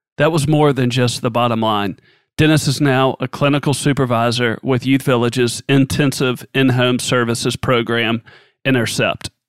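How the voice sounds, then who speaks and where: A man with an unremarkable speaking voice at medium pitch and a moderate pace, fairly even intonation and very even loudness, in a very clean recording with a silent background and a dry, close sound with no echo. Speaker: podcast host. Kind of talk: interview.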